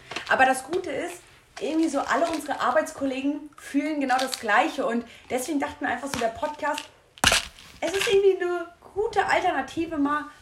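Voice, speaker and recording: Over noticeable background noise, a woman with a high voice talks at a fairly quick pace broken by long, frequent pauses. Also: ordinary pitch variation. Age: 20s. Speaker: retail worker and podcast co-host. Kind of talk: casual chat.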